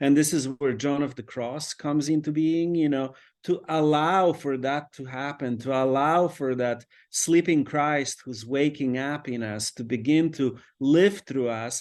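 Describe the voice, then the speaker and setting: A man's fairly high voice with a Polish accent, fairly slow and fairly even in intonation, over a quiet background. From Poland. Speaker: priest and author. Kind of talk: interview conversation. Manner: reflective, with frequent fillers.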